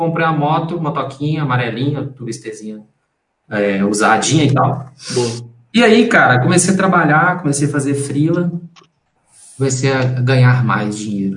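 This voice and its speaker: A man talks at a moderate pace with lively intonation and a fairly high pitch. There's audible echo from the room. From Brazil, Belo Horizonte (Minas Gerais). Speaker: graphic designer and company partner. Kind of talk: casual interview.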